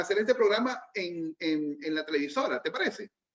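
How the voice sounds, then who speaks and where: A man speaks at a moderate pace. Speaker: radio host. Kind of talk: interview; casual chat.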